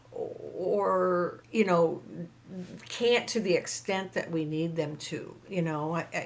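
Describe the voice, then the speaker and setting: Very slow speech over noticeable background noise. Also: woman. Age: 70s. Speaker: psychotherapist and writer. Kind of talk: interview conversation. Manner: halting, many fillers.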